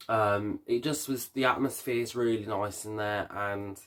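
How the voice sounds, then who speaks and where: In a very clean recording with a silent background, a man with a Birmingham accent talks at a moderate pace with fairly even intonation. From Birmingham, England. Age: 20s. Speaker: vlogger and hairdresser. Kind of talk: casual Q&A vlog. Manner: hesitant, many fillers.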